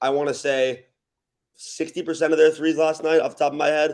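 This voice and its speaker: A man speaks at a fairly quick pace with an American accent. His voice sits fairly high. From Los Angeles area, California. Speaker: college basketball public address announcer. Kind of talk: sports podcast guest analysis.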